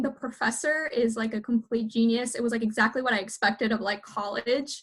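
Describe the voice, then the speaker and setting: A fairly quick pace from a woman with a high-pitched voice. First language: Spanish. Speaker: university alumna panelist. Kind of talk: panel discussion.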